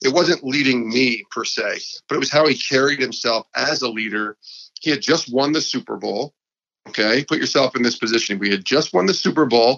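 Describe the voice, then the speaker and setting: A man with an upstate New York accent, medium in pitch, with ordinary pitch variation at a fairly quick pace. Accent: upstate New York American. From upstate New York (Albany). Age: 40s. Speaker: sports podcast host and former TV producer. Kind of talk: interview conversation.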